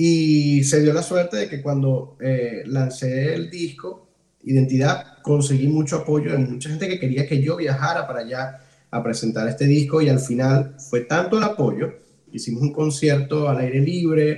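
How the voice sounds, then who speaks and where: The man's fairly high voice has a dark, mellow tone, somewhat breathy, with ordinary pitch variation. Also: fairly slow pace. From Venezuela, Ciudad Guayana. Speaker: cuatro musician. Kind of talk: casual interview. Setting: host's home.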